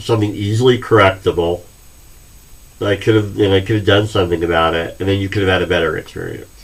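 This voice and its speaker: At a very fast pace, a somewhat breathy man with a fairly low pitch speaks in fairly even intonation. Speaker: college history instructor. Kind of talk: recorded class introduction lecture. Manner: halting, many fillers.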